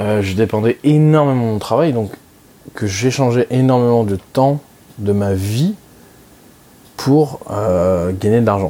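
Long, frequent pauses break up a man's very slow speech, delivered at a medium pitch with ordinary pitch variation. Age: 20s. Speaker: personal finance podcaster. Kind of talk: solo monologue. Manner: halting, many fillers.

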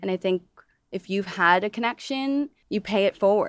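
With a normal speaking voice, a woman talks at medium pitch and a moderate pace in a very clean, dry, close recording with a silent background and no echo. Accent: American. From Toledo, Ohio. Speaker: dancer turned fitness studio founder. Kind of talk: interview conversation.

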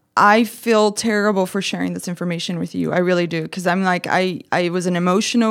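A woman speaks with a Brazilian accent at medium pitch and fairly even intonation. The recording is very clean, the background silent. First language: Portuguese. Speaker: guest, ex-wife of host's ex-boyfriend. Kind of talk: casual chat. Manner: blunt, profane.

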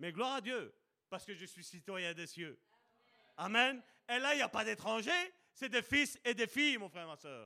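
A man's raised, projected voice, high-pitched and bright and sharp in tone, with lively intonation, big swings in loudness and long, frequent pauses. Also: moderate pace. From Belgium, Charleroi (Sicilian family). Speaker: preacher. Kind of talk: sermon.

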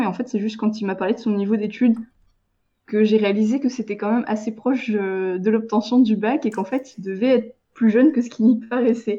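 Fairly high, somewhat breathy female voice with a dark, mellow tone and fairly even intonation, over a quiet background. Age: 20s. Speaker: freelance web writer. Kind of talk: casual interview.

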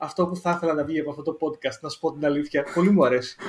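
Here a man speaks with a Central Greek accent. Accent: regional Central Greek. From Greece, Lamia. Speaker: podcast co-host. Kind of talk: casual chat. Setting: online call.

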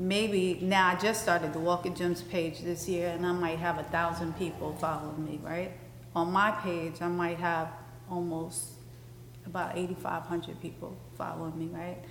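With a New York accent, a woman talks at a fairly low pitch in a flat monotone, with audible room echo around her. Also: moderate pace. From Brooklyn, New York (Bed Stuy). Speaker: fashion designer. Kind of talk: interview in front of live audience. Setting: stage with live audience.

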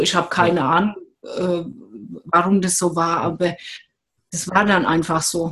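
Somewhat breathy, a woman speaks at a moderate pace. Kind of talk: casual chat. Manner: gentle; halting, gets stuck on words.

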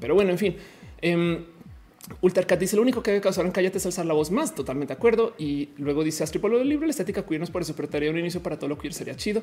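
A woman talks with lively intonation at a fairly low pitch. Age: 30s. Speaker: streamer. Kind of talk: casual live-stream chat. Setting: home studio.

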